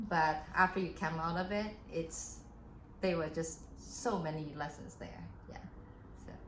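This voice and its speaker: There is audible room echo and noticeable background noise as a woman with a fairly low pitch and ordinary pitch variation speaks at a fairly slow pace. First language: not English. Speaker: keynote speaker and pianist. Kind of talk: interview. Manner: halting.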